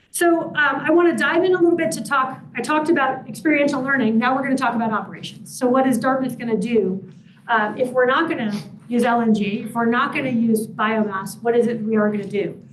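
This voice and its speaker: Very fast speech from a woman with a high pitch and lively intonation, plus audible room echo. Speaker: university sustainability director. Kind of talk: public presentation. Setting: public forum with Zoom audience.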